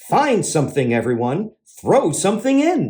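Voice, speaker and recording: Using a put-on character voice, a man talks at a moderate pace in a high pitch with very wide pitch swings. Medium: read story.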